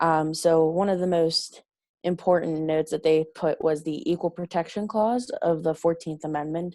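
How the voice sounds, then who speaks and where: A woman's fairly low, dark, mellow voice at a moderate pace with fairly even intonation, in a very clean recording with a silent background. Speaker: college student presenter. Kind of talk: class group presentation.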